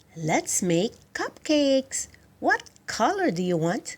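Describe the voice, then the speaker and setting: A put-on character voice, female-sounding and high-pitched, with very wide pitch swings at a fairly slow pace. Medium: read story.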